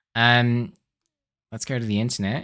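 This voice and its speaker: On a very clean recording with a silent background, a man speaks with an Australian accent and fairly even intonation. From South Australia. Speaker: eBay reseller and vineyard worker. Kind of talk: casual haul video tutorial. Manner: casual, frequent fillers.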